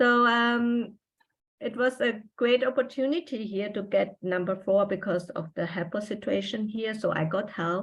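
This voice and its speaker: A woman speaks at a moderate pace with a German accent, her pitch fairly high. Her voice is somewhat breathy, with ordinary pitch variation. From Austria. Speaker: trailing spouse, former journalist. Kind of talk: interview. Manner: halting.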